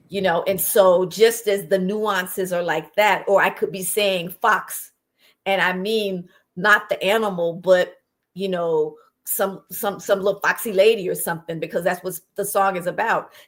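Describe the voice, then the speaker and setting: With an American accent, a woman at medium pitch speaks at a moderate pace in a monotone, flat intonation. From US South, Alabama. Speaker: singer and performer. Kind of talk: talk show interview.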